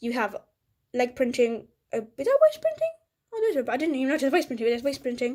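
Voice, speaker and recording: A woman talks very fast in a high-pitched voice. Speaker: toy set reviewer. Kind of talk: casual product review to camera.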